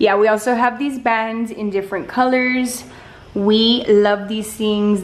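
Delivery comes at a fairly slow pace. The intonation is monotone and flat. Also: woman. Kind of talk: casual vlog chat. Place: garage. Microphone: phone near.

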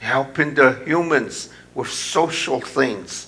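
A man speaks very slowly in a fairly high voice with a bright, sharp tone. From India. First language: Indian language. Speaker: pastor. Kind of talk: sermon. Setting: church. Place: church.

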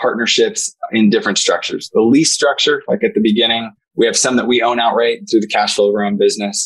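The background is quiet. A man does the talking. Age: 40s. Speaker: senior living executive. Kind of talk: interview. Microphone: earbuds.

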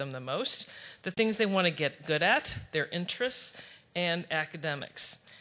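Her tone bright and sharp, a woman speaks at a moderate pace in a fairly low pitch with lively intonation. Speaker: foundation program officer. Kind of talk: conference presentation. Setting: stage with audience. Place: hall. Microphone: podium.

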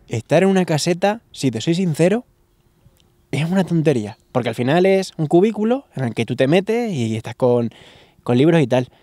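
Over a quiet background, a man with a dark, mellow tone speaks with lively intonation, the sound dry with no echo. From La Solana, Castilla-La Mancha, Spain; Castilla-La Mancha. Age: 30s. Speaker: novelist; interviewee. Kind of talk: interview. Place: garden. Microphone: handheld.

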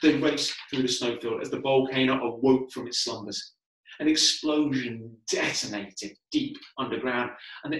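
A natural reading voice sounds over a quiet background.

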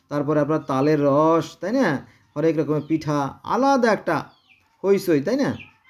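A man talks with a fairly high pitch that varies in an ordinary way. Everything is recorded very cleanly against a silent background. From Bangladesh, Gopalganj. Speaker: religious commentator. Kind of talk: monologue on religion. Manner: animated; halting.

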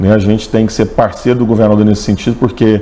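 Speaking at a very fast pace, a man uses a fairly low pitch with monotone, flat intonation. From Minas Gerais, Brazil. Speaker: tourism agency president, lawyer and professor. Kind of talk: formal interview answers. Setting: studio. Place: studio. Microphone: lapel.

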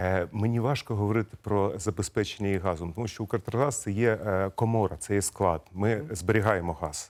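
A man with a plain, everyday voice talks at a fairly low pitch and moderate pace, with ordinary pitch variation, in a very clean recording with a silent background. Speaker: gas company executive. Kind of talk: TV interview. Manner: formal.

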